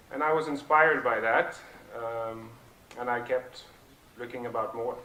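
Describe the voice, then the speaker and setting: In a Norwegian accent, someone speaks at a moderate pace with fairly even intonation, amid noticeable background noise and audible room echo. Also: man. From southern Norway. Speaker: project founder, speaker. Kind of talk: conference talk. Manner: halting, many fillers.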